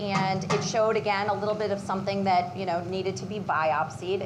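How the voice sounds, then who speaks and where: The intonation stays fairly even. Noticeable background noise and audible room echo are present. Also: woman. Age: 40s. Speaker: patient sharing her story. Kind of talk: personal testimony at a cooking demo. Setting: live demo kitchen with audience and Zoom. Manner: halting, many fillers.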